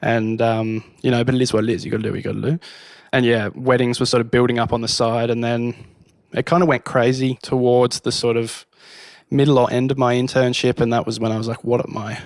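Speaking at a very fast pace, a man with an Australian accent holds a medium pitch with fairly even intonation. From Hobart, Tasmania. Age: 20s. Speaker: wedding photographer. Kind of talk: casual chat.

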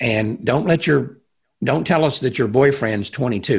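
Recorded very cleanly against a silent background, a man with a Texan accent speaks at a moderate pace and medium pitch, somewhat breathy, with lively intonation. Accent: Texan American. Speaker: pro-life activist. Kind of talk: interview conversation.

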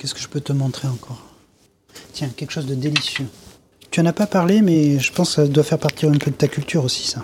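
A very fast pace with long, frequent pauses and ordinary pitch variation. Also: man, fairly high pitch for a man. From southern France, Grasse. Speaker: perfumer. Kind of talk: casual chat.

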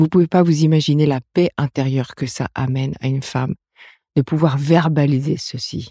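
A dark, mellow tone with fairly even intonation, in a dry, close sound with no echo. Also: woman, very deep, low pitch for a woman, moderate pace. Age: 50s. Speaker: midwife and therapist. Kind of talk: interview. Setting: studio.

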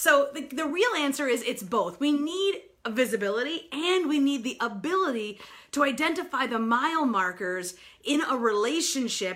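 Raising and projecting her high, bright, sharp voice, a woman with an American accent speaks at a moderate pace in an animated, enthusiastic tone with very wide pitch swings. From New York. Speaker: sales strategist and speaker. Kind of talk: live broadcast presentation. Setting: live video broadcast.

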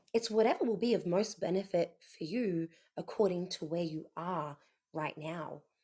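A woman with an unremarkable speaking voice talks fairly slowly at a medium pitch, her intonation lively. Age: 30s. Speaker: podcast co-host. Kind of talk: casual chat.

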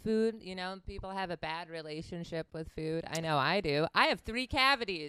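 A woman talks at a fairly quick pace with an American accent. The recording is very clean and dry, close-miked with no echo and a silent background. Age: 40s. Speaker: podcast host. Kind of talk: casual chat.

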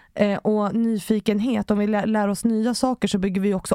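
Over a silent background in a very clean recording, a woman speaks at a medium pitch in a dark, mellow tone. Her intonation is monotone and flat, and the sound is dry and close with no echo. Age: 30s. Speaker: author and public speaker. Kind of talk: podcast interview.

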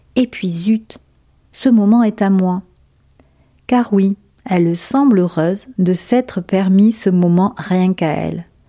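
A woman speaks at a very slow pace, with long, frequent pauses and ordinary pitch variation. Her voice is somewhat breathy, with a dark, mellow tone. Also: medium pitch for a woman. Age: 50s. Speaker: former clothing retail worker writing a letter. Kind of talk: reading aloud. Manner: formal.

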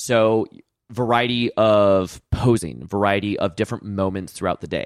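The recording is very clean, with a silent background and a dry, close sound with no echo. The pace is moderate. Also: man. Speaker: wedding photographer and podcast host. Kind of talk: casual interview chat. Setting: studio podcast.

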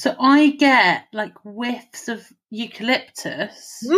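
This woman's voice sits high in pitch, with fairly even intonation. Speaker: podcast co-host. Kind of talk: casual chat. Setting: remote recording via video call.

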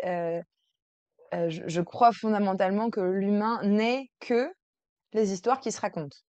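Her pace is on the slow side. The woman's pitch sits in the middle range. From France, Versailles. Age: 30s. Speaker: integrative coach. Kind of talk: interview. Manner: hesitant, many fillers.

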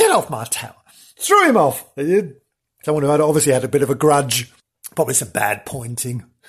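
In a very clean recording with a silent background, a man with a fairly high, somewhat breathy voice talks at a fairly quick pace with long, frequent pauses and ordinary pitch variation. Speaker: podcast host. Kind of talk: comic ghost-story narration. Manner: animated, laughs often; playful, theatrical.

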